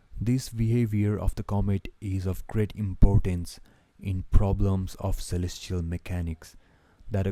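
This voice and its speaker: In a very clean recording with a silent background, a man with a non-native accent speaks at a moderate pace in a very deep, low pitch, with a dark, mellow tone and monotone, flat intonation. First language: not English. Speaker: book reader. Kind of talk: reading aloud. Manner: halting.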